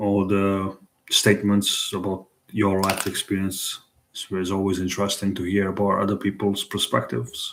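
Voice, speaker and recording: A man with an Italian accent, fairly low pitch and fairly even intonation. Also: moderate pace. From Italy. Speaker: live streamer. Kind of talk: casual live stream chat. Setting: live stream at night. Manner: halting, many repetitions.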